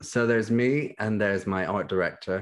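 Speaking with a British accent, a man keeps a moderate pace and fairly even intonation. The background is quiet. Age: 20s. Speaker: magazine editor. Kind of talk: casual chat.

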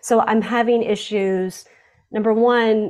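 Over a quiet background, a woman has an unremarkable speaking voice pitched fairly high. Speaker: caller asking a question. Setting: call.

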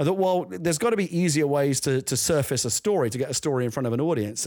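Talking very fast with lively intonation, a man with a London accent speaks at a fairly high pitch. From London, East End. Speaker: screenwriter and novelist. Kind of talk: casual chat. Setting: video call.

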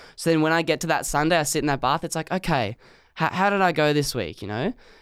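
A man with an Australian accent, fairly high in pitch, with ordinary pitch variation at a very fast pace, on a very clean recording with a silent background. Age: 20s. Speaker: podcast guest. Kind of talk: casual chat. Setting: studio.

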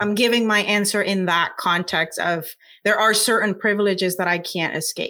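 A woman's medium-pitched, bright and sharp voice with a Puerto Rican accent, fairly even intonation and a moderate pace, on a very clean recording with a silent background. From Puerto Rico. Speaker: scientist and science communicator. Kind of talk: interview.

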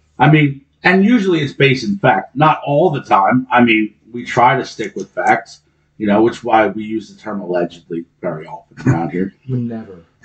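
A man speaks loudly at a moderate pace, his medium-pitched voice swinging very widely up and down. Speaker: podcast co-host. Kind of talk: casual chat.

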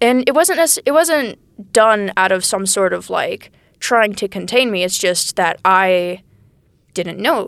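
With an American accent, a normal speaking voice moves at a fairly slow pace with lively intonation. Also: woman, medium pitch for a woman. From Texas. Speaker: college student. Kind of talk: casual chat. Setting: small room, podcast interview.

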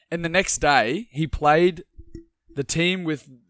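Recorded with a dry, close sound and no echo, a man with an Australian accent speaks at a moderate pace and fairly high pitch with ordinary pitch variation. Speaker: sports podcast co-host. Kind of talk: casual sports chat.

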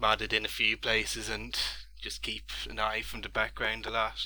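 This voice has an Irish accent and moves at a moderate pace. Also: man. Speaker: gamer and scuba diver. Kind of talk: casual chat. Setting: video call.

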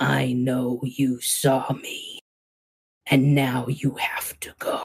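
A raspy, gravelly put-on character voice at a low-to-middle pitch and a very slow pace. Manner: menacing.

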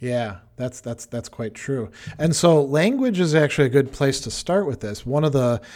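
A man talks in a plain, everyday voice at a fairly quick pace, with ordinary pitch variation. The recording is very clean, with a silent background. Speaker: philosophy podcast co-host. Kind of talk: casual chat. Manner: fluent, explanatory, repeats words.

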